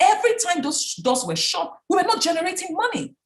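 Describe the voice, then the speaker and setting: A woman's animated voice with a Nigerian accent, very wide pitch swings and a moderate pace. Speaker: business founder and speaker. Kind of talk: talk.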